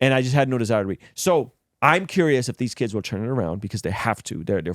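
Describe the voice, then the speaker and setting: Lively and very fast, a man's voice comes through dry and close with no echo. The recording is very clean, with a silent background. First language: not English. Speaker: podcast host. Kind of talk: casual chat.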